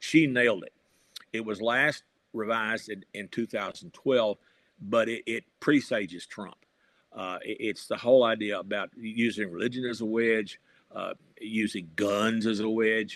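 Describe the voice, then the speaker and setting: This man has a western Kentucky accent and a medium pitch, talking at a moderate pace with fairly even intonation. His loudness swings widely. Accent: Southern US (western Kentucky). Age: 70s. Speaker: retired journalist and professor, political writer. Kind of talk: interview. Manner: halting, with fillers.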